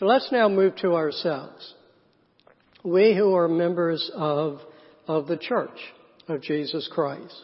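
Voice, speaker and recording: With a Southern US accent, a man speaks at a high pitch and a very slow pace, with ordinary pitch variation and long, frequent pauses. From US South, South Carolina. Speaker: pastor. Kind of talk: sermon. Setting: church.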